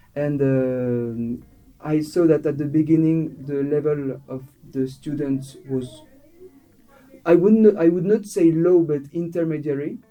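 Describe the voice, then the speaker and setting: Over music in the background, a man talks at a fairly slow pace with a fairly high pitch. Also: ordinary pitch variation. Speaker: student intern. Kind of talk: interview. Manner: halting, with many fillers and restarts.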